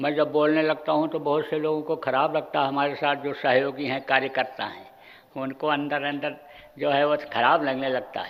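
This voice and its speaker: A man speaks in a fairly high pitch with monotone, flat intonation and audible room echo. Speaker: spiritual guru. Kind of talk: sermon. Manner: forceful.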